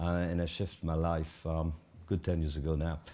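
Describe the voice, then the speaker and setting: Talking at a moderate pace, a man speaks in a French accent. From Switzerland, French-speaking. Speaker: addiction therapist and conference organiser. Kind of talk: panel talk moderation. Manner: hesitant, many fillers.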